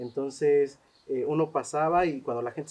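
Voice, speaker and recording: Speaking in a Mexican accent, a man has a fairly high pitch. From Mexico. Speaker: social anthropologist. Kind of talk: interview. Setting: cultural center. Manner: hesitant, many fillers.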